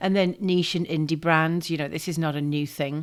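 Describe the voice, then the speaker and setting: A woman's very deep, low voice comes at a moderate pace. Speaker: perfume business course teacher. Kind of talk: online course lesson. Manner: halting, many fillers.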